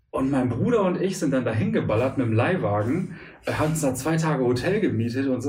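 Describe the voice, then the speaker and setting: A man talks at a fairly quick pace with lively intonation, somewhat breathy. Audible room echo fills the recording. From Münster, Westphalia, Germany. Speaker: stand-up comedian. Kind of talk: casual interview chat.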